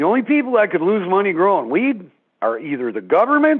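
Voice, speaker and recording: Speaking in a Canadian accent at a fairly quick pace, the voice swings very widely in pitch. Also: man. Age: 60s. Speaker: member of the public at a town meeting. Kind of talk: public comment at an open house.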